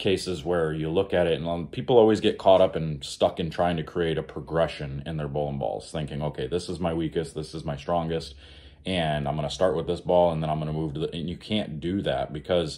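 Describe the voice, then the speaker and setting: A man speaks in a very deep, low pitch. His tone is dark and mellow, with ordinary pitch variation. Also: hardly any pauses, quiet background. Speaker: bowling coach. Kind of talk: casual tutorial talk. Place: home room. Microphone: phone near.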